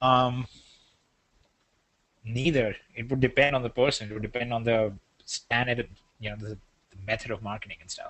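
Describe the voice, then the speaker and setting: A man with an Indian accent speaks at a moderate pace and medium pitch, with fairly even intonation. He takes long, frequent pauses and shows big swings in loudness. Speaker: business webinar presenter. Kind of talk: sales webinar. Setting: online webinar.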